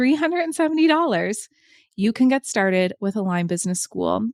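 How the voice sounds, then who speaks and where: In a very clean recording with a silent background and a dry, close sound with no echo, a woman with an East Coast US accent speaks in an enthusiastic tone with lively intonation. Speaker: podcast host, business coach. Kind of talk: podcast monologue with sales pitch.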